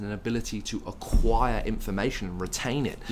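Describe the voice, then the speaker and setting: Medium-pitched male speech amid noticeable background noise and audible room echo. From English Midlands, Worcester. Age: 20s. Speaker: entrepreneur. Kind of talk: interview.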